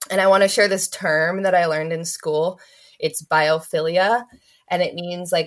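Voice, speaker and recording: A woman's unremarkable speaking voice, fairly low in pitch, with an American accent and a moderate pace. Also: very clean recording, silent background. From Oregon, US. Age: 20s. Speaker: horticultural therapy student. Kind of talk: casual interview.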